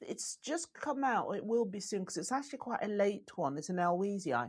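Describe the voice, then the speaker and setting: This woman's voice sits at a medium pitch and is somewhat breathy. Her pitch swings very widely. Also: moderate pace. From Zimbabwe. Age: 50s. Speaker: garden historian and TV presenter. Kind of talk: casual chat.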